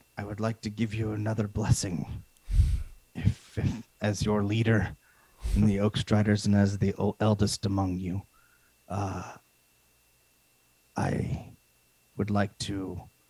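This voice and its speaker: In a booming, put-on character voice, the speaker talks at a fairly slow pace with monotone, flat intonation and long, frequent pauses. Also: man, fairly low pitch for a man. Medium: actual play. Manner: solemn, formal.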